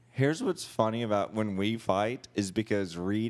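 A man talks in a normal speaking voice with fairly low pitch. His intonation stays fairly even. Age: 40s. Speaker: small business owner. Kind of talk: casual chat.

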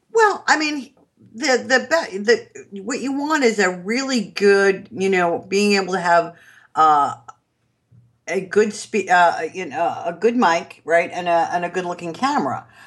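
A woman speaks in a New York accent. Her intonation is lively. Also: medium pitch for a woman, fairly slow pace. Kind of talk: interview. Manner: animated.

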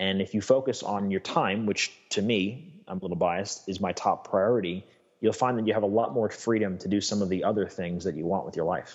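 A man with an American accent and an unremarkable speaking voice talks at a fairly quick pace with hardly any pauses, fairly low pitch and fairly even intonation. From New York State. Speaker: lifestyle coach. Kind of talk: interview.

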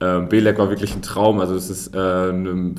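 A man speaks in a monotone with flat intonation. Audible room echo is present. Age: 20s. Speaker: sprinter. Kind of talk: interview.

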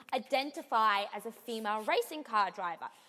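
In an Australian accent, a woman speaks with a high pitch. Her pitch varies in an ordinary way. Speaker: podcast co-host.

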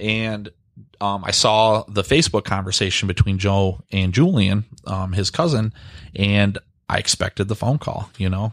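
In a very clean recording with a silent background and a dry, close sound free of echo, a man with a Michigan accent speaks at a moderate pace in a fairly low pitch. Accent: Midwestern US (Michigan). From Michigan, Grosse Pointe. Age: 30s. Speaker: real estate agent. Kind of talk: casual chat.

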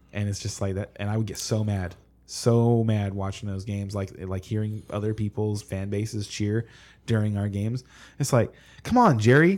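Here is a man with a plain, everyday voice, fairly low in pitch, talking at a moderate pace with fairly even intonation. The recording is very clean, with a silent background. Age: 30s. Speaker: fantasy football podcast co-host. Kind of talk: casual chat. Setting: live stream.

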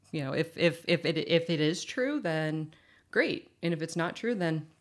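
This woman has a normal speaking voice with an American accent and a fairly low pitch. She talks at a moderate pace with ordinary pitch variation. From Massachusetts, US. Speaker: recovering alcoholic sharing her story. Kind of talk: casual chat.

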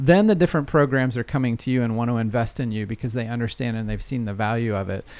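A man speaks at a very fast pace with hardly any pauses. His pitch is medium, with ordinary variation. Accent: American. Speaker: data analytics consultant. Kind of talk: interview.

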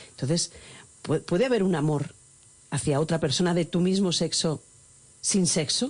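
A woman talks at a moderate pace with long, frequent pauses, her fairly low voice somewhat breathy, its loudness very even and its pitch varying in an ordinary way. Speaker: radio host. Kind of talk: radio interview. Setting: radio studio. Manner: animated.

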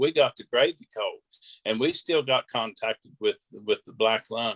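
Someone with a West Virginia accent talks in a dry, close sound with no echo. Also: man. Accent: West Virginia Appalachian. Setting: press conference. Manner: halting, hesitant.

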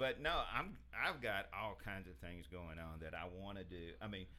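At a moderate pace, a man speaks with a bright, sharp tone and vocal fry. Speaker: industry worker about to retire. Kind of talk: casual interview chat.

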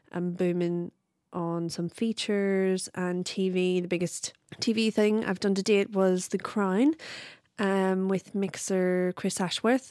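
A woman speaks at a fairly slow pace with a Belfast accent. Her medium-pitched voice sounds dry and close, with no echo. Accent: Belfast Northern Irish. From Northern Ireland, Belfast. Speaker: production sound mixer. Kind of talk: interview. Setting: video call.

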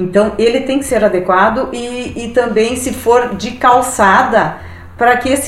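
A woman talks in a fairly high voice at a fairly slow pace. Noticeable background noise and audible room echo surround her. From Brazil, Rio Grande do Sul (Passo Fundo area). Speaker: hiking enthusiast. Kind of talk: casual interview. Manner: halting, with filler repetitions.

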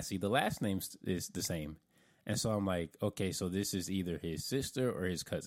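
A man with an American accent has an ordinary speaking voice, a fairly low pitch and ordinary pitch variation, in a very clean recording with a silent background. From US South (Florida). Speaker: podcast co-host. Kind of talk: casual chat.

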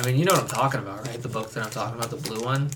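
Over noticeable background noise and audible room echo, a man with an American accent speaks at a medium pitch with fairly even intonation. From Nebraska. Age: 20s. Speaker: podcast host, art student. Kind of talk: casual chat. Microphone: earbuds, echoey sound.

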